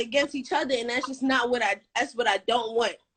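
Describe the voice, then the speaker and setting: This is a woman speaking with an American accent. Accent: New York Caribbean. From Brooklyn, New York (Flatbush). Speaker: caller. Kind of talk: casual chat.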